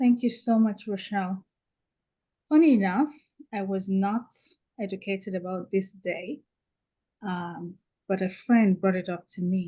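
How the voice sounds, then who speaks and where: Soft-spoken and somewhat breathy, a woman with a medium pitch and a dark, mellow tone speaks at a fairly slow pace with ordinary pitch variation and long, frequent pauses. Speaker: panel speaker. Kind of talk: panel discussion.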